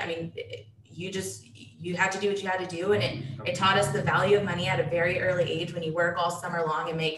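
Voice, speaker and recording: Talking at a very fast pace, a woman with a fairly low pitch is heard through noticeable background noise and audible room echo. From Dallas, Texas. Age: 20s. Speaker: real estate investor. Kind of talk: casual interview.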